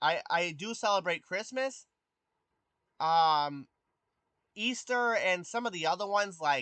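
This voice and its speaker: Using a bright, sharp tone and lively intonation, a man talks at a fairly slow pace with a dry, close sound with no echo. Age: 20s. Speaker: streamer. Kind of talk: casual chat. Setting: live stream from PC. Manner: hesitant, many fillers.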